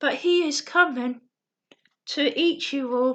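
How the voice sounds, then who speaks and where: A woman puts on a character voice pitched high. She talks at a fairly slow pace. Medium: read story. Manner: chattering, insistent.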